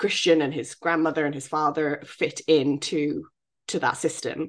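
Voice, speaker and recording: A woman speaks with a British accent. Her pitch sits fairly low. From Britain. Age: 30s. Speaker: royal news podcast co-host. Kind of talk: casual chat.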